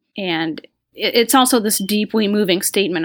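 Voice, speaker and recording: A woman speaks at a moderate pace in an unremarkable speaking voice, with ordinary pitch variation, on a very clean recording with a silent background. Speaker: website editor, podcast co-host. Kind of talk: casual chat.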